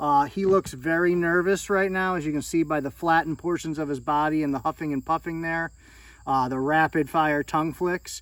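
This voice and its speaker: On a very clean recording with a silent background, a man with a fairly high pitch speaks at a moderate pace with ordinary pitch variation. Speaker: snake breeder, reptile channel host. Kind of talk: casual show-and-tell video. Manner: loud at moments.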